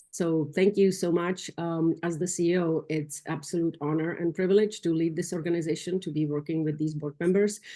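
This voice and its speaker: A woman talks at a fairly quick pace with hardly any pauses, in a non-native accent, her voice fairly low with a dark, mellow tone. Her intonation is monotone and flat, and the background is quiet. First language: not English. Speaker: nonprofit CEO. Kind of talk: business meeting report. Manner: halting.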